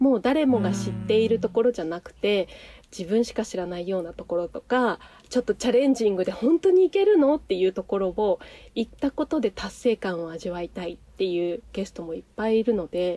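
With an ordinary speaking voice, a woman at medium pitch uses lively intonation and big swings in loudness, recorded with a dry, close sound and no echo. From Nagano, Japan. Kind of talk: casual interview chat. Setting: video call.

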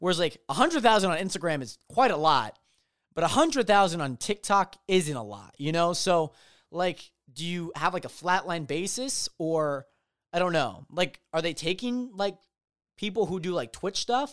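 A very clean, silent-backed recording of speech at a moderate pace. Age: 20s. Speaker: podcast host. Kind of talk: solo casual commentary. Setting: home studio room with video. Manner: casual, many fillers and repetitions.

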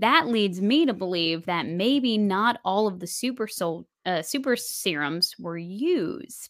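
Very slow and sweeping through very wide pitch swings, a woman's medium-pitched voice comes through a very clean recording with a silent background. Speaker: podcast host. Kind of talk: casual chat. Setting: video recording session. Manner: animated, jokey.

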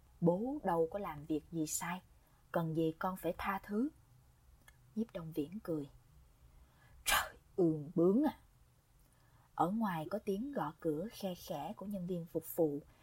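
Very slowly and with long, frequent pauses, a woman speaks in a fairly low, somewhat breathy voice with ordinary pitch variation. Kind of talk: audiobook narration, reading a novel aloud. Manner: even, storytelling pace, measured.

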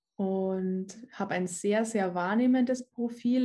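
A woman's somewhat breathy voice, dark and mellow in tone, at a medium pitch and very slow pace with ordinary pitch variation. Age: 20s. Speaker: personal development coach. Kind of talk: casual interview chat.

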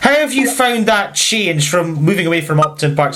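A man speaks quickly with a fairly high pitch and lively intonation over noticeable background noise. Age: 30s. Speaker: podcast host. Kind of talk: interview.

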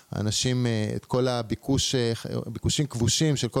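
Delivered at a moderate pace, a normal speaking voice keeps a fairly even intonation. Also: man. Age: 40s. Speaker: entrepreneur and investor. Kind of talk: interview.

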